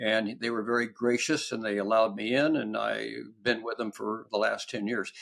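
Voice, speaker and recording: On a very clean recording with a silent background, a man talks at a moderate pace with vocal fry. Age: 70s. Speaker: biogerontologist. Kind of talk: interview answer.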